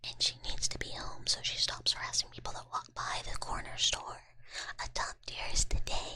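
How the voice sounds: Whispering at a moderate pace, a woman speaks.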